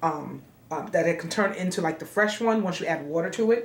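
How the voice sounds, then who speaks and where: Amid noticeable background noise and audible room echo, a woman speaks at a medium pitch and moderate pace with ordinary pitch variation. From New York. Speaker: middle school music teacher. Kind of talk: cooking tutorial. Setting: home kitchen.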